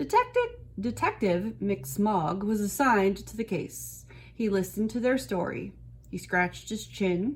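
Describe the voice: This clip is plain reading aloud. The speaker is simply reading the words out.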